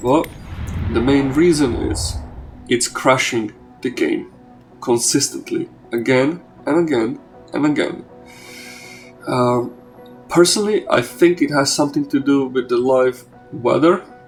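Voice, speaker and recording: A man speaking at a fairly slow pace with music in the background. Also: long, frequent pauses. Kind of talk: casual gameplay commentary.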